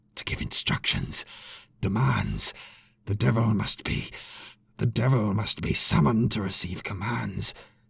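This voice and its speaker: Growling and raspy, a man performs a put-on character voice at fairly low pitch. Long, frequent pauses break up his speech. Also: moderate pace. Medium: read story.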